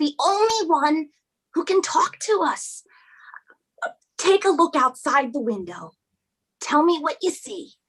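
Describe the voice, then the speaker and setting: A woman's put-on character voice, extremely high-pitched and fairly slow, with long, frequent pauses. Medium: stage play. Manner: emphatic, coaxing.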